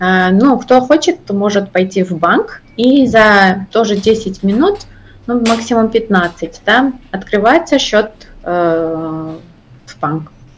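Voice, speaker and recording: A woman in a Georgian accent speaks at a very slow pace, her intonation lively and her loudness swinging widely. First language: Georgian (speaking Russian). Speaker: operations director. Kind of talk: interview. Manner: halting.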